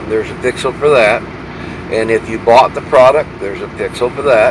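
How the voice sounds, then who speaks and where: Over noticeable background noise, a man talks at a medium pitch with ordinary pitch variation. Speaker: truck driver vlogger. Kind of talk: casual vlog monologue. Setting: parked at a truck stop. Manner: halting, many fillers.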